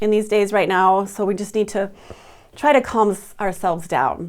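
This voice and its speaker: On a very clean recording with a silent background, a woman speaks at a fairly high pitch. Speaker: fitness instructor. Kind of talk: wellness talk to camera. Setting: office. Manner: fast.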